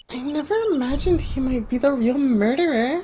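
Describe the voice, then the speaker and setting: In a put-on character voice, a female-sounding speaker talks high-pitched at a fairly quick pace. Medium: game stream. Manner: bright, chatty.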